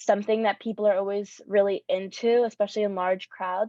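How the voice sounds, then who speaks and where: The woman's voice sits at a medium pitch. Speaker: youth workshop facilitator. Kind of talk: workshop presentation. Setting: room with audience and Zoom. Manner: fast.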